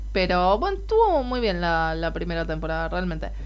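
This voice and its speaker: A woman speaks in a Rioplatense accent. Room echo is audible. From Argentina. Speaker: podcast co-host. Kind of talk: casual chat.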